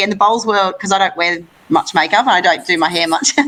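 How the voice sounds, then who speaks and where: A woman with an Australian accent talks at a very fast pace, her pitch medium and its variation ordinary. Noticeable background noise runs behind her. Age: 30s. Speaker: lawn bowls player and broadcast host. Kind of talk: interview. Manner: animated.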